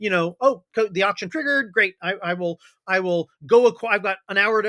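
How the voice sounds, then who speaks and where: A man speaks at a very fast pace in a raised, projected voice with a high pitch, a bright, sharp tone, an animated tone and lively intonation, with a dry, close sound and no echo. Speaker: blockchain company CEO. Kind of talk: podcast interview.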